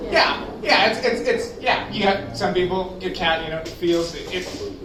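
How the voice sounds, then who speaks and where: Background noise is noticeable. A man talks over it at a moderate pace. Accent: American. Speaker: amateur stand-up comedian. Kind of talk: stand-up comedy set. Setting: live open mic on stage.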